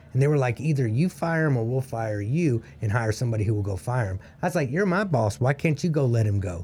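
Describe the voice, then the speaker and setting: At a very fast pace, a man speaks with medium pitch, a dark, mellow tone, lively intonation and a somewhat breathy sound. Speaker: co-host. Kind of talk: casual interview chat.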